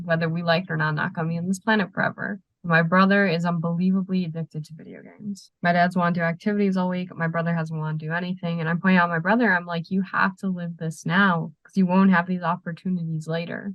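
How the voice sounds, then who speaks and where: A woman's somewhat breathy, fairly low voice, monotone and flat, rushing very fast with hardly any pauses. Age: young. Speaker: podcast guest. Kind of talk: casual chat.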